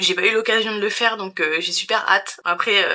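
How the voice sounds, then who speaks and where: Here a woman speaks with a fairly high pitch. Her tone is bright and sharp. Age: 30s. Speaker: vlogger. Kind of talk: casual vlog chat.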